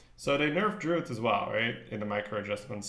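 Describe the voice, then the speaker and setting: A man with a slight French accent speaks at a moderate pace, with audible room echo around him. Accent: little trace of French accent; fluent English. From northern Belgium (Flanders). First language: Dutch. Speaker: game streamer. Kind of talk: live gameplay commentary. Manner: casual, thinking aloud.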